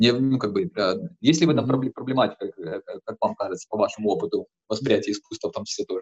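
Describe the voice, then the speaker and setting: The sound stays dry and close, without any echo. A man rattles along at a very fast pace. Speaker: podcast host and lecturer. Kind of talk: interview conversation. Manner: halting, many fillers.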